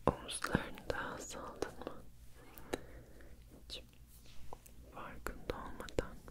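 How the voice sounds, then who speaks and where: A woman at a very slow pace with long, frequent pauses. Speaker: ASMR creator. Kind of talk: ASMR sleep and relaxation session with affirmations. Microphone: studio mic.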